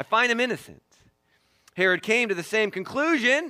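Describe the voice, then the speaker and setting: A man speaks in a raised, projected voice with a bright, sharp tone, a high pitch and very wide pitch swings. His pace is moderate, and the recording is very clean with a silent background. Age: 40s. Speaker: pastor. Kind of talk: sermon.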